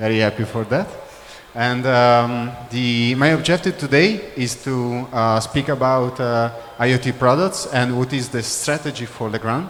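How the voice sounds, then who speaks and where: With an Italian accent, a man speaks at a moderate pace and ordinary pitch variation, with audible room echo and noticeable background noise. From Italy. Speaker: business development manager. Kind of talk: corporate presentation. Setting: trade show conference room. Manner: halting, many fillers.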